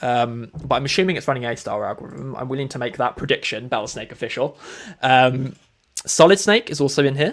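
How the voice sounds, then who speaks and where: Upbeat in tone, a man talks at a fairly quick pace. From Europe. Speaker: esports-style shoutcaster for a programming game tournament. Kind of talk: live tournament commentary. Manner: casual, chatty, upbeat.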